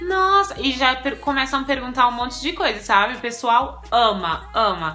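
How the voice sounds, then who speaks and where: With music in the background, a woman at high pitch talks at a moderate pace, her pitch swinging very widely. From Brazil. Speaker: vlogger. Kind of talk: casual chat.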